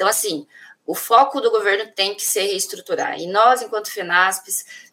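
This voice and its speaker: Using a plain, everyday voice, a woman speaks at medium pitch and a moderate pace. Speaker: union leader. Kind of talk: interview. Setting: video call.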